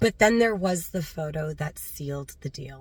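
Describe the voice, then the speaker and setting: A woman's fairly low, somewhat breathy voice with lively intonation at a moderate pace. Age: 40s. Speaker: animal rescue volunteer. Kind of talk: personal story told to camera.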